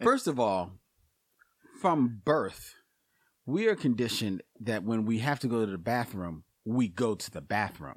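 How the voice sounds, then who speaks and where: A man with medium pitch speaks at a fairly slow pace, leaving long, frequent pauses. His intonation is lively. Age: 50s. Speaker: podcast co-host. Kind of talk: casual chat.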